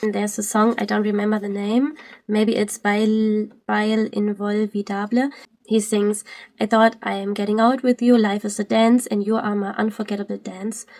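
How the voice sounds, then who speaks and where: In a German accent, a woman with fairly high pitch speaks at a moderate pace in a monotone, flat way, captured in a very clean recording with a silent background. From Germany. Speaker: Twitch streamer. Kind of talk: video commentary. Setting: live stream. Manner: halting.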